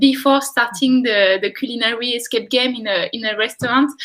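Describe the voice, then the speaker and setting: Bright and sharp in tone, a woman with a French accent speaks at a high pitch and moderate pace with fairly even intonation. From France. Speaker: experience designer, entrepreneur. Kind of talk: live webinar interview. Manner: halting.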